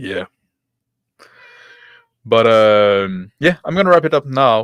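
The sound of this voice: A man speaks slowly, with lively intonation. His tone is clear, smooth and fairly bright. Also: medium pitch for a man, dry, close sound with no echo.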